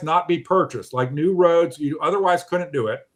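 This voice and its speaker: A normal speaking voice from a man, fairly high in pitch, with ordinary pitch variation on a very clean recording with a silent background. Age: 60s. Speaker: online show host. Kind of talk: casual discussion.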